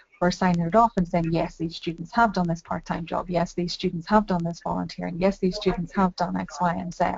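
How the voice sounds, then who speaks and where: This woman has a fairly low pitch and a Northern Irish accent. She talks at a fairly quick pace with fairly even intonation and hardly any pauses. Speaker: university employability staff. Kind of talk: video conference discussion. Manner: fast.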